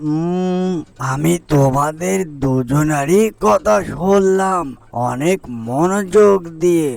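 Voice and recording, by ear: A man puts on a cartoonish character voice, high-pitched for a man and slightly mellow, with vocal fry. He speaks slowly, with ordinary pitch variation.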